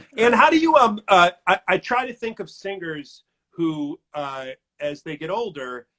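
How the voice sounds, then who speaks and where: In a raised, projected voice, a high-pitched man speaks at a fairly slow pace with very wide pitch swings and big swings in loudness, the sound dry and close with no echo. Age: 50s. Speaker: arts reporter. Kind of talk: interview. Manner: halting.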